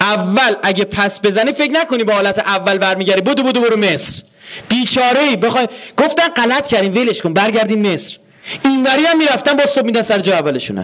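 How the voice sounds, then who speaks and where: A man talks fairly quickly at a high pitch, animated and with lively intonation. His loudness stays very even over noticeable background noise. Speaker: religious lecturer. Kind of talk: lecture. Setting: university hall with audience.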